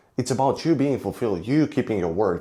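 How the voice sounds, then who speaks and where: With a Romanian accent, a man speaks in a dark, mellow tone with lively intonation. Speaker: fitness vlogger. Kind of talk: vlog monologue. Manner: halting.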